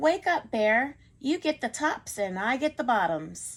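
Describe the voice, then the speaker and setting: In a put-on character voice, a woman speaks fairly slowly at a high pitch with very wide pitch swings, on a very clean recording with a silent background. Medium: read story.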